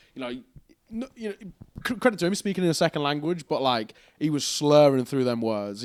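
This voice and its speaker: On a very clean recording with a silent background, a man with a fairly high pitch speaks in an animated tone with very wide pitch swings. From England. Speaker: esports commentator. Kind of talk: casual chat. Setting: hotel room.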